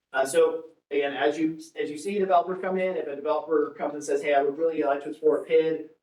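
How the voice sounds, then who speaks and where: Audible room echo surrounds a man with an American accent who speaks at a very fast pace and fairly high pitch with fairly even intonation. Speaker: public finance consultant. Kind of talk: presentation to city council. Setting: city council meeting.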